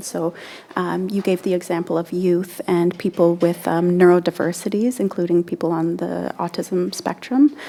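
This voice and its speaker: A soft-spoken woman talks at a fairly low pitch. Her intonation is fairly even. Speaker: panel moderator. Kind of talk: panel discussion. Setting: conference panel. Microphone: far from the mic.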